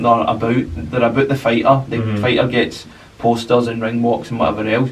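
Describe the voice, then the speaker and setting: A man speaks with a Glasgow accent at a medium pitch. His intonation is monotone and flat, with noticeable background noise. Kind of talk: podcast conversation. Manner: casual, hesitant.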